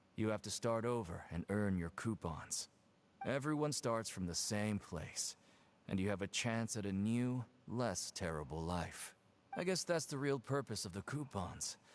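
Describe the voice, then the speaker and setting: Gruff put-on character voice from a man, fairly low-pitched, at a moderate pace. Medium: video game. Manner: curt, gruff.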